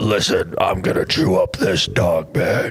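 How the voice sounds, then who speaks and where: A man puts on a character voice and talks at a fairly slow pace. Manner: menacing, exaggerated.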